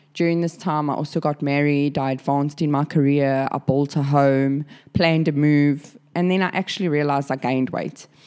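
Speaking at a fairly quick pace with hardly any pauses, a woman uses a very deep, low pitch and fairly even intonation. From South Africa. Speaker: podcast host, amateur bodybuilder. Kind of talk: casual monologue.

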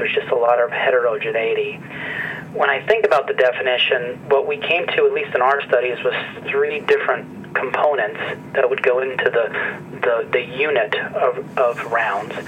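Moderate pace from a man with an American accent, over noticeable background noise. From northeastern central Pennsylvania. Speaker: medical professor. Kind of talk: interview. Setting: phone call. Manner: hesitant, many fillers.

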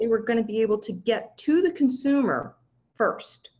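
A woman with an American accent speaks at a fairly slow pace, her fairly high voice somewhat breathy. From US, Southern California. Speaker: technology consultant. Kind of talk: interview.

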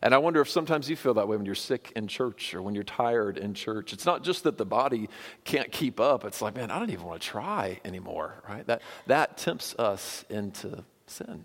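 A man's ordinary speaking voice at a medium pitch and fairly quick pace, in a very clean recording with a silent background. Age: 40s. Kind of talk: sermon.

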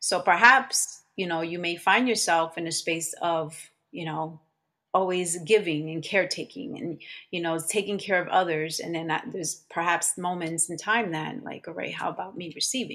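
In a New Jersey accent, a woman with a fairly low pitch and a bright, sharp tone speaks at a moderate pace with ordinary pitch variation and big swings in loudness, on a very clean recording with a silent background. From New Jersey, Elizabeth. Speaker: holistic practitioner. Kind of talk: interview.

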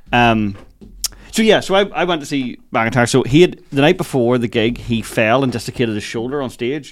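A man of medium pitch with a Northern Irish accent, lively intonation, and a moderate pace. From Northern Ireland, Lisburn. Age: 30s. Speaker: comedian. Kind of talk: casual chat. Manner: loud.

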